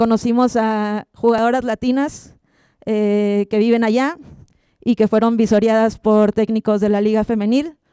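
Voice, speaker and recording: A woman's fairly high, dark and mellow voice in a monotone, flat delivery at a fairly slow pace, dry with no echo, against a quiet background. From Mexico, Monterrey; Nuevo León, Mexico. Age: 30s. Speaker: sports photographer. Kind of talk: conference talk. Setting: stage with audience. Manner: halting, many fillers. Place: hall. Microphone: handheld.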